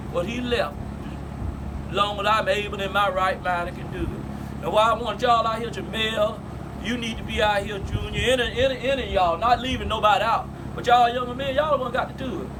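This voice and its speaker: Speech comes at a very fast pace in an American accent, with fairly even intonation. Noticeable background noise and audible room echo are present. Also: man, high pitch for a man. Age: 60s. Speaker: family elder telling family history. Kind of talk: storytelling to family.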